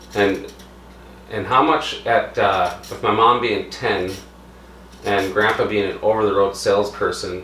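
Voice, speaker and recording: Amid audible room echo and light background noise, a man talks at a fairly slow pace with long, frequent pauses. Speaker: home cooking video host. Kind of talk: casual talk to camera, interviewing relative. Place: kitchen. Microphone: camera far.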